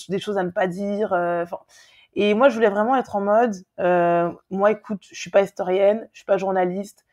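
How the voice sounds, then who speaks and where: A woman speaks at a fairly quick pace. Her pitch sits in the middle range, with ordinary variation. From Paris, France (Guadeloupean family). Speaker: travel content creator. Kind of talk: casual interview chat. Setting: remote call. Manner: hesitant, many fillers.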